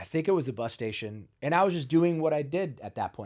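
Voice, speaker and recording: A man with an American accent, fairly high-pitched, at a very fast pace with lively intonation. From US Midwest, Ohio. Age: 50s. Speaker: wellness cafe founder, recovered addict. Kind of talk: personal testimony in a casual interview. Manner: casual, filler-heavy.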